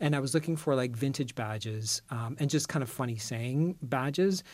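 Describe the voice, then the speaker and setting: Fairly high pitch for a man, a plain, everyday voice, ordinary pitch variation and a fairly quick pace. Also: very clean recording, silent background. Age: 50s. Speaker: style columnist. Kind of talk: casual chat.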